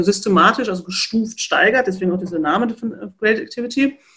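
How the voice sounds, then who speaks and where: The voice is somewhat breathy, with ordinary pitch variation and a fairly quick pace. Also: woman. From North Rhine-Westphalia, near Dortmund. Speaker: physiotherapist and professor. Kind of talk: interview.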